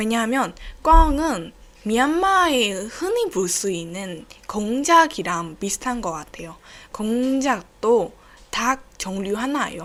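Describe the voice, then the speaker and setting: At a very slow pace, a woman speaks with a fairly high pitch, very wide pitch swings and big swings in loudness. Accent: Burmese. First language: Burmese (speaking Korean). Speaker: podcast host. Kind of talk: casual solo podcast talk. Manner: halting.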